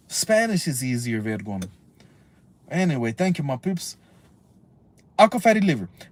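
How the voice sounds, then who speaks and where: A somewhat breathy, animated tone at a moderate pace. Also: man. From US. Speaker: YouTuber, civil rights activist. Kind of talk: reading aloud with casual commentary. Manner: halting.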